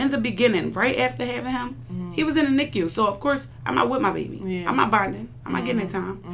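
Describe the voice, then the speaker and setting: A woman in an American accent at a very fast pace with hardly any pauses, with audible room echo and noticeable background noise. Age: 20s. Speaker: library worker and young mother. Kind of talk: casual chat. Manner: animated.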